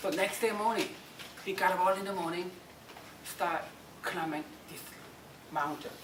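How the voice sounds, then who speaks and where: A woman with a strong Korean accent speaks at a medium pitch with fairly even intonation, big swings in loudness and long, frequent pauses, amid noticeable background noise and audible room echo. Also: moderate pace. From South Korea. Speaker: motivational speaker. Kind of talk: motivational talk.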